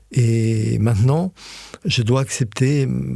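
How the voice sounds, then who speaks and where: Noticeable background noise accompanies a man speaking at a fairly low pitch. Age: 60s. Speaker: osteopath. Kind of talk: casual chat. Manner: hesitant, many fillers.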